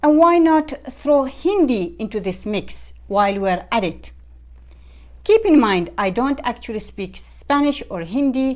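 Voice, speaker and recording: An Arabic accent at a fairly slow pace. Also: woman. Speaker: software tutorial creator. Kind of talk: tutorial. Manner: friendly, upbeat.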